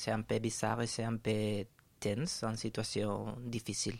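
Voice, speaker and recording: A man with a Spanish accent speaks very slowly at a medium pitch in a monotone, flat way, recorded very cleanly against a silent background. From Spain, Valencia. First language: Spanish (speaking French). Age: 30s. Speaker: radio guest. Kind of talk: casual interview. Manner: halting.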